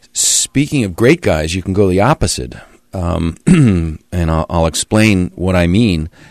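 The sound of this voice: The pace is fairly slow and the tone slightly mellow. The intonation is lively. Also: man, low pitch for a man.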